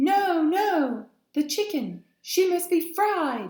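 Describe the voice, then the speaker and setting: A loud, squeaky put-on character voice comes at an extremely high pitch and a very slow pace. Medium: read story. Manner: loud, rough.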